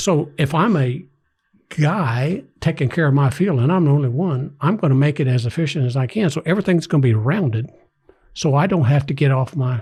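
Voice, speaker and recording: A man's fairly high, somewhat breathy voice with ordinary pitch variation, a fairly quick pace and very even loudness, on a very clean recording with a silent background. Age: 60s. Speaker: groundskeeper and former teacher. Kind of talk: casual chat. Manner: animated.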